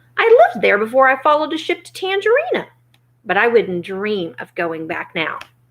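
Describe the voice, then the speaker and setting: In a put-on character voice, a woman talks croakily at a fairly high pitch and a fairly quick pace, with very wide pitch swings. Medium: read story.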